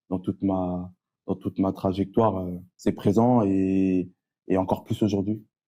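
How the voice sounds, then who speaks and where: The voice has a dark, mellow tone. It moves at a fairly slow pace with monotone, flat intonation. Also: man, very deep, low pitch for a man. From Paris suburbs, France (Évry-Courcouronnes, Essonne). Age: 30s. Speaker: youth educator and entrepreneur. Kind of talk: casual interview.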